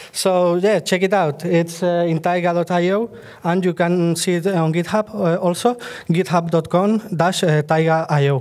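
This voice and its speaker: Against noticeable background noise, a man with a Spanish accent talks in a high pitch with fairly even intonation. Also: moderate pace, very even loudness. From Spain. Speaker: software developer. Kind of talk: conference lightning talk. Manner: halting, many fillers.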